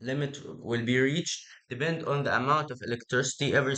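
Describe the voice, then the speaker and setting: With an Egyptian accent, a man speaks at a fairly quick pace in a fairly high pitch, using a bright, sharp tone and fairly even intonation. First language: Arabic. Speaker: tech idea presenter. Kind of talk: casual explanation. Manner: halting, many fillers and repeats.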